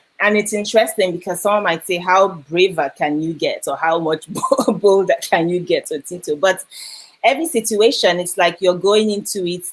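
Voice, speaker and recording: A woman with a Nigerian accent speaks at a moderate pace with ordinary pitch variation. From Nigeria, Lagos. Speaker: educator and editor. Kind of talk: interview. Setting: live video stream.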